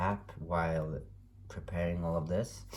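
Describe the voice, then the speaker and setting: The man's pitch is very deep and low. There is audible room echo around him. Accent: non-native. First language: not English. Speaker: tarot reader. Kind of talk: tarot reading monologue. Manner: halting, many fillers.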